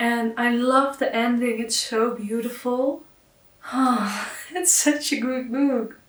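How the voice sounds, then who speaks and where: Over noticeable background noise, a woman with a non-native accent and a high pitch speaks at a very slow pace. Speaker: book YouTuber. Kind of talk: casual talk to camera. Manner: enthusiastic.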